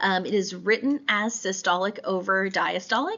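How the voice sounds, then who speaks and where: A woman at medium pitch and moderate pace, with noticeable background noise. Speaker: instructor. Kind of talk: lecture. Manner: hesitant with many fillers.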